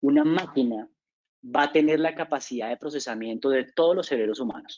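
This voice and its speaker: A man with a fairly high pitch, speaking at a fairly quick pace. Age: 40s. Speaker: business consultant. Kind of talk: lecture. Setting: webinar. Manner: halting; fast.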